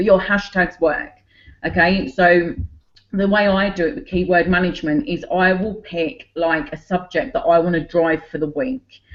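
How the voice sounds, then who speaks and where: In a Cockney accent, a woman talks at a moderate pace and medium pitch with lively intonation. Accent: Cockney London English. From London, England (Cockney). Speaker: online business owner. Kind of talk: group video call presentation.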